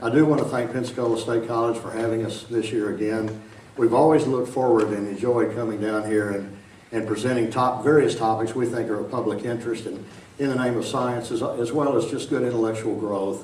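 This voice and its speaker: Over noticeable background noise and audible room echo, a man talks fairly quickly in an Arkansas accent at a medium pitch with fairly even intonation. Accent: Arkansas Southern. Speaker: science lecturer. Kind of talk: public lecture. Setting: large auditorium with audience. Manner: casual, chatty.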